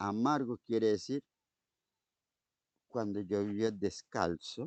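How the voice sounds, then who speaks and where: Speaking at a very slow pace, a man uses a fairly low voice. His pitch varies in an ordinary way. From Colombia, eastern plains. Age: old. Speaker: shaman and spiritual teacher. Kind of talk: interview answer.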